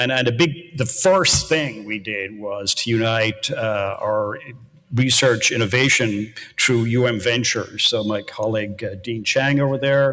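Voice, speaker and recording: Over noticeable background noise, someone speaks in an Irish accent at a fairly slow pace with ordinary pitch variation. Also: man, medium pitch for a man. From Ireland, near Baltimore, County Cork. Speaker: university research executive. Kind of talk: panel discussion. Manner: halting, repeats words.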